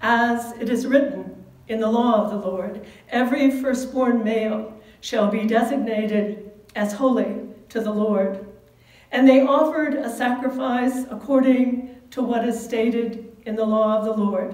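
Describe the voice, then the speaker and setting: In a room with audible echo, a woman talks at a fairly slow pace with fairly even intonation. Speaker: pastor. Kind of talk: sermon. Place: church. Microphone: camera far.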